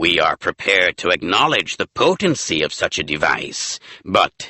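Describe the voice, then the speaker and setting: A man puts on a character voice, speaking at a moderate pace. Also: fairly low pitch for a man. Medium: read story.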